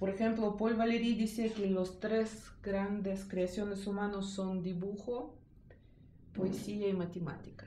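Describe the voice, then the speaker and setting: The speech is fairly slow, with monotone, flat intonation. Audible room echo and noticeable background noise are present. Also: woman, medium pitch for a woman. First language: not Spanish (speaking Spanish). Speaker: art teacher. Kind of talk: interview. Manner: halting.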